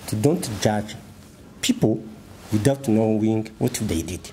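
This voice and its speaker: A man talks with a Rwandan accent and ordinary pitch variation. There is light background noise. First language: Kinyarwanda. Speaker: tribunal prosecution counsel; former tribunal lawyer. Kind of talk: interview; interview answer. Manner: halting. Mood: reflective, solemn. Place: office.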